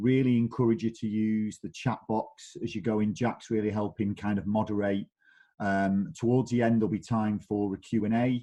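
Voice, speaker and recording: A man with a Mancunian accent speaks in a dark, mellow tone, his fairly low pitch held to fairly even intonation. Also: moderate pace. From northern England, Manchester. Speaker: digital marketing director. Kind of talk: webinar presentation.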